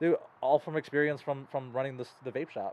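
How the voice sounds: A man talks at a fairly quick pace with medium pitch, fairly even intonation and a slightly mellow tone.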